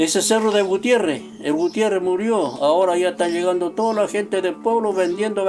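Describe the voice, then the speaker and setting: Against noticeable background noise, a man talks at a fairly quick pace and high pitch. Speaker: stone carver and craftsman. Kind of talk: interview answer.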